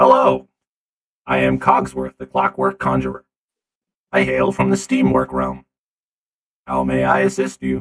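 A man puts on a character voice, very deep and low, speaking at a moderate pace in a flat monotone with long, frequent pauses. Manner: cheerful, helpful.

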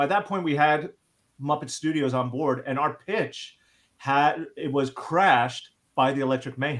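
A normal speaking voice from a man with an American accent, fairly high in pitch, with ordinary pitch variation. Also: moderate pace. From US, Long Island, New York. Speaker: TV writer and trailer producer. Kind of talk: casual interview chat.

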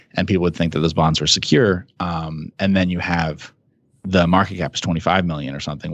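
Someone with an American accent talks at a fairly quick pace with fairly even intonation. The background is quiet. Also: man. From New Jersey. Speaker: investment manager. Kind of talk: interview. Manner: hesitant, many fillers.

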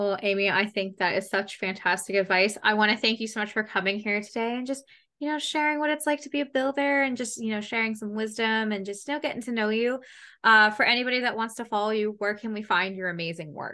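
A woman's very fast, bright, sharp delivery at a fairly high pitch, with ordinary pitch variation, over a quiet background. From Canada, Ontario border town. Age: 20s. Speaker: YouTube gaming podcast host. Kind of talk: casual chat interview. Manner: animated.

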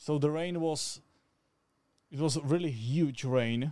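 With a Slovak accent, a man talks in a fairly high pitch using fairly even intonation. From Slovakia. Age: 20s. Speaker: cameraman. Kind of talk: casual chat. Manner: halting.

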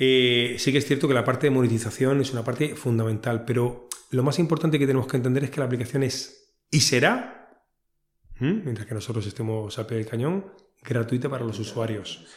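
A man talks at a fairly quick pace with a medium pitch and ordinary pitch variation. His voice is somewhat breathy. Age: 40s. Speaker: entrepreneur. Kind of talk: interview.

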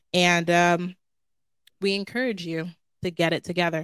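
An animated tone in a very clean recording, silent background, dry and close with no echo. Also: woman. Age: 30s. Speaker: podcast co-host. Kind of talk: casual faith chat.

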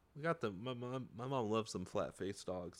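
A man speaks at a moderate pace in an ordinary speaking voice with lively intonation. The recording is very clean, with a silent background. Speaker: podcast co-host. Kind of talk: casual comedic banter. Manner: bantering, teasing.

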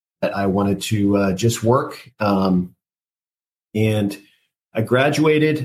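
A man with an American accent speaks at a fairly low pitch with lively intonation. His voice is somewhat breathy. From California, Central Coast. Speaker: marine veteran and parenting podcaster. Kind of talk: interview. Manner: halting.

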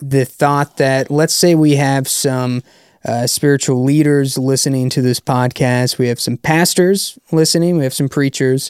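A man with an unremarkable speaking voice at a fairly high pitch and fairly slow pace, fairly even intonation, in a dry, close sound with no echo. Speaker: podcast host. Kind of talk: casual interview chat.

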